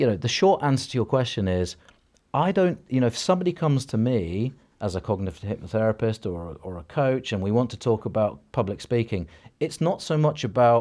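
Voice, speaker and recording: A man's dark, mellow voice at a medium pitch with very wide pitch swings, fairly quick in pace, in a very clean recording with a silent background. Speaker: cognitive hypnotherapist and coach. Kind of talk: podcast interview. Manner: fast; energetic.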